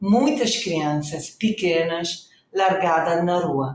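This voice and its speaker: A woman with an Italian accent speaks at a very slow pace with lively intonation. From northern Italy, Reggio Emilia. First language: Italian (speaking Portuguese). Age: 60s. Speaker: social project founder. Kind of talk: podcast interview.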